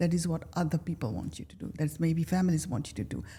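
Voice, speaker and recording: The tone is dark and mellow. It comes across somewhat breathy. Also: woman. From Kenya. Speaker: life coach. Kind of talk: interview answer.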